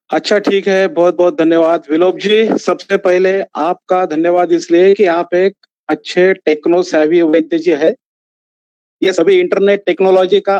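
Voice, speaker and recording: A man speaks with a Marathi accent. His voice is high in pitch. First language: Marathi (speaking Hindi). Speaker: ayurvedic physician, lecturer. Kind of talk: online lecture. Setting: live online video session.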